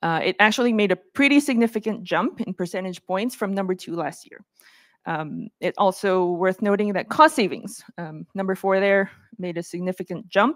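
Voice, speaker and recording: A woman speaks at a moderate pace with a medium pitch and ordinary pitch variation. The sound is dry and close, with no echo. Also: big swings in loudness. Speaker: conference speaker, game industry manager. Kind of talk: conference presentation. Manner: hesitant, many fillers.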